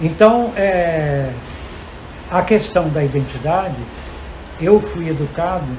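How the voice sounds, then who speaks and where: Amid noticeable background noise and audible room echo, a man with a high pitch speaks at a very slow pace, with long, frequent pauses and ordinary pitch variation. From Brazil, Guiricema, Minas Gerais. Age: 80s+. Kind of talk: round-table talk. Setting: university lab, panel before audience.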